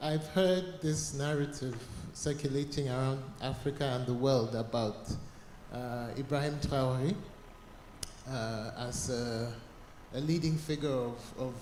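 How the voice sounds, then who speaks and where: With audible room echo, the speaker goes at a fairly slow pace and uses ordinary pitch variation. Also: man. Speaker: conference audience member. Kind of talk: audience comment. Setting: cold conference hall.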